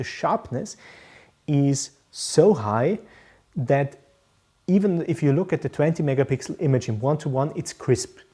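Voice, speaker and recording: Moderate pace, in a German accent. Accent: German-speaking accent in English. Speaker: professional photographer. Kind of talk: live stream Q&A. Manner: hesitant, many fillers.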